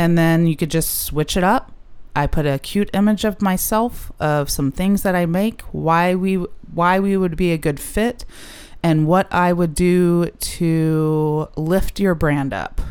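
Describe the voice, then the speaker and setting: A woman's plain, everyday voice, fairly low in pitch, with ordinary pitch variation, very even loudness and a fairly slow pace. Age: 30s. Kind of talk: casual interview. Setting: in person, same room as host.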